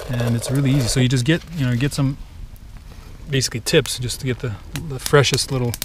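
The voice moves at a fairly quick pace over noticeable background noise, with a dry sound and no echo. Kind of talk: casual tutorial. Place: forest. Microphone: camera far.

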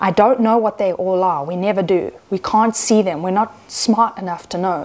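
Her pitch varying in an ordinary way, a woman speaks at a fairly slow pace. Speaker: Gnostic nun and priestess. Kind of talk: sermon, spiritual teaching to camera. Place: home room.

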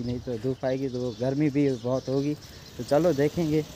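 A man at a fairly slow pace, dry sound with no echo, light background noise. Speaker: vlogger. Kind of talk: casual vlog chat. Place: open country. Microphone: phone near.

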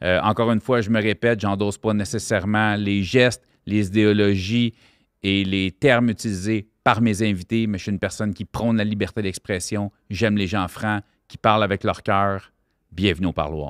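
A man with a Quebec accent, fairly low pitch, fairly even intonation and a moderate pace, in a dry sound with no echo and a quiet background. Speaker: podcast host and comedian. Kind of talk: casual interview. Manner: informal, conversational. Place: studio. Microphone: studio mic.

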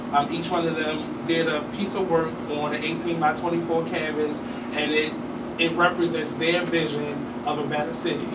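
A man talks at a fairly high pitch. Clear background noise runs behind him.

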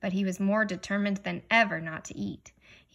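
Someone reads in a natural voice. Ordinary variation shows in the pitch.

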